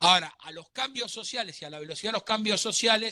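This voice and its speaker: A man's raised, projected voice, high in pitch, bright and sharp in tone, with ordinary pitch variation. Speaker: law lecturer. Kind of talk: lecture.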